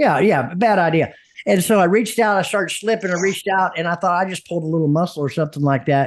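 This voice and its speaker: Over a quiet background, a man with a high pitch speaks at a fairly quick pace with ordinary pitch variation. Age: 60s. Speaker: podcast host. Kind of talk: casual interview. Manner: halting.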